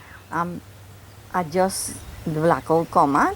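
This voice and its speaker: Over noticeable background noise, a woman with a fairly low pitch speaks at a very slow pace. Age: 60s. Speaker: crime victim. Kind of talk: news interview testimony.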